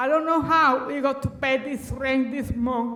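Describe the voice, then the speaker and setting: At a fairly slow pace, a woman with a high pitch speaks in a Dominican accent, with audible room echo. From Dominican Republic. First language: Spanish. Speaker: resident speaking at public comment. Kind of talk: public comment testimony. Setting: city council chamber. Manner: halting.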